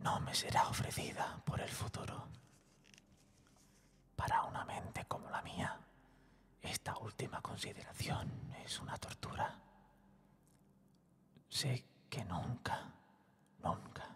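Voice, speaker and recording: Whispering at a very slow pace, a man pauses long and often. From Spain. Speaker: voice actor and narrator. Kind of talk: ASMR whispered story narration. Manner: intimate, whispered, soft.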